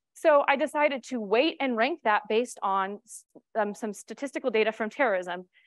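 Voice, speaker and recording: Against a quiet background, a woman with an American accent talks at a fairly quick pace in a dry sound with no echo. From New York. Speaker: cybersecurity strategist; conference presenter. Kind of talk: conference talk. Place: stage.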